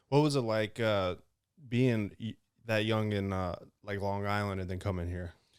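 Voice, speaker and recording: This man has a plain, everyday voice with an American accent, fairly low in pitch and at a moderate pace. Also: fairly even intonation, very clean recording, silent background. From North Carolina (Johnson County). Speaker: podcast host. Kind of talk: casual interview chat.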